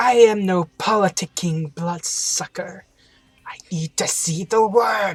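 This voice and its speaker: Fairly slow, middle-pitched delivery in a put-on character voice. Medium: game stream. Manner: archaic, theatrical.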